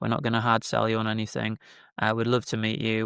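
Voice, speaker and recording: Speaking in a British accent, a man comes through in a very clean recording with a silent background. The sound is dry and close, with no echo. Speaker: business founder. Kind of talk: casual interview chat.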